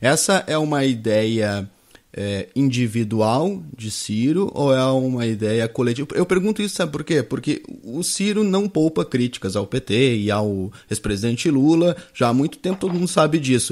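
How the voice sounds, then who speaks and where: At a moderate pace, a man with a medium pitch speaks with very wide pitch swings on a very clean recording with a silent background. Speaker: news show host. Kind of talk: live interview.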